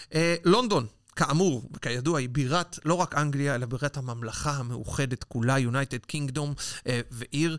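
In an ordinary speaking voice, a man speaks at a moderate pace and fairly high pitch with ordinary pitch variation, on a very clean recording with a silent background. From Israel. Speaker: podcast co-host and food tour guide. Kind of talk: casual chat.

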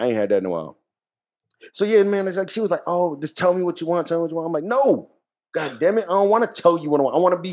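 A man speaks with a high pitch and lively intonation. His pace is very fast. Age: 40s. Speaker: podcast co-host. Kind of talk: casual chat.

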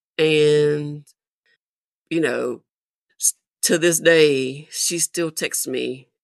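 A woman with a Southern US accent and a very deep, low pitch, speaking very slowly with fairly even intonation, in a dry, close sound with no echo. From US South. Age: 50s. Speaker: military veteran. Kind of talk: casual chat. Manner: halting.

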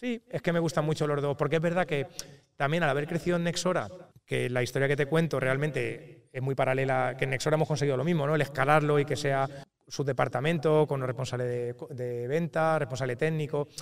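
A man talks at a fairly quick pace with a fairly high pitch and fairly even intonation. He has a plain, everyday voice. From Spain, Toledo. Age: 30s. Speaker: real estate investor and tech entrepreneur. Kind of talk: interview. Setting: recorded in person at an event.

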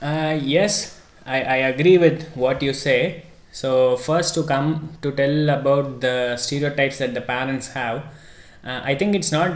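A man speaks at a fairly slow pace with a fairly high pitch. His intonation stays fairly even, and audible room echo surrounds the voice. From India, Chennai. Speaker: automotive engineer and educator. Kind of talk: podcast interview.

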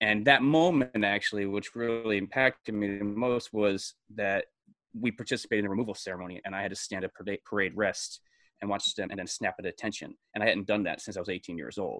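Speaking very fast at a fairly low pitch with ordinary pitch variation, a man comes through in a very clean recording with a silent background and a dry, close sound with no echo. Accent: American. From New York State, Hudson Valley (Brewster). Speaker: comedian and actor, military veteran. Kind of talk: casual interview chat. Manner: animated, halting with many fillers.

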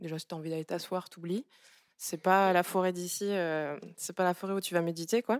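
A woman talks in an ordinary speaking voice at a fairly low pitch, with fairly even intonation and a moderate pace. The recording is very clean, with a silent background and a dry, close sound with no echo. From Gabon. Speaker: artist. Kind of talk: public book club discussion. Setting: live venue with audience.

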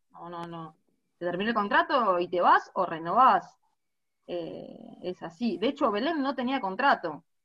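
A woman talks at a fairly slow pace, her loudness rising and falling a lot and her pitch swinging very widely. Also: medium pitch for a woman. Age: 30s. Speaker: women's football captain. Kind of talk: interview. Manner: halting, repeats words.

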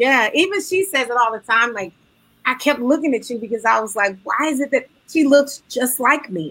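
A woman with an American accent speaks at a moderate pace, her pitch high and her tone bright and sharp. The recording is very clean, with a silent background. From Detroit, Michigan. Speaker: singer and Broadway actress. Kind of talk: interview.

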